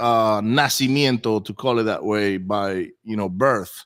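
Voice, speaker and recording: Recorded very cleanly against a silent background, a man with a Spanish accent speaks with ordinary pitch variation. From Venezuela. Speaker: real estate investor. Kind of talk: interview. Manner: halting, many repeats and fillers.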